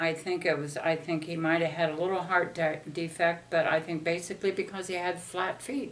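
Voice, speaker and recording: A woman speaks at a fairly quick pace with hardly any pauses. Her intonation is flat and monotone. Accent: American. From Ohio, US Midwest. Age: 70s. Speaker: parent interviewed by family. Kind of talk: family interview.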